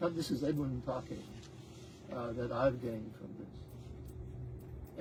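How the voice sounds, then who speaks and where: A man with an American accent speaks with vocal fry, and room echo is audible. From Texas. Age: 80s+. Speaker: retired scientist giving spiritual testimony. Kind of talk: testimony. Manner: halting.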